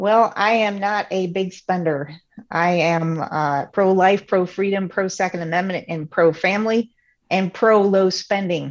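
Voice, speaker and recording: Medium pitch from a woman with an American accent, at a fairly slow pace, against a quiet background. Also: fairly even intonation. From US Midwest, Illinois. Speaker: state legislator. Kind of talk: interview. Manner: halting, many fillers and repetitions.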